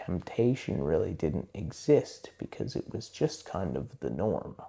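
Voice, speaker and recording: With vocal fry and a dark, mellow tone, a man of fairly low pitch speaks very slowly, his pitch swinging very widely between long, frequent pauses. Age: 30s. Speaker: book discussion youtuber. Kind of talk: casual monologue. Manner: slower, less hyped than usual.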